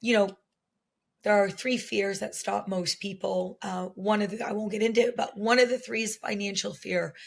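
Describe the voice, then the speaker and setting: On a very clean recording with a silent background, a woman talks at a moderate pace. Her medium pitch shows ordinary variation. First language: French. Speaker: teacher and coach. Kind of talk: podcast interview. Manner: conversational with many fillers.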